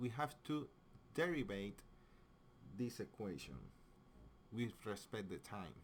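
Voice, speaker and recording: Lively intonation at a fairly slow pace, in a strong non-native accent. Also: man. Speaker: physics teacher. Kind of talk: tutorial. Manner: halting.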